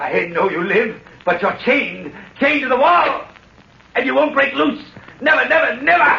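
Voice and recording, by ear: A man puts on a character voice with an extremely high pitch, vocal fry and a bright, sharp tone. He speaks at a fairly slow pace with ordinary pitch variation, and room echo is audible.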